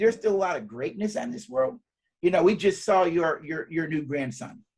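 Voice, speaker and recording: This man's voice is high in pitch, with lively intonation, a fairly quick pace and big swings in loudness. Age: 60s. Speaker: psychologist and speaker. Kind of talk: interview. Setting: live webcast.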